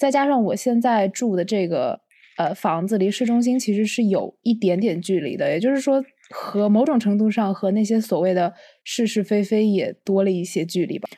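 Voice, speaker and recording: A plain, everyday voice of a woman, fairly high, with ordinary pitch variation at a moderate pace on a very clean recording with a silent background. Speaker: podcast co-host, psychology student. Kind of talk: casual chat.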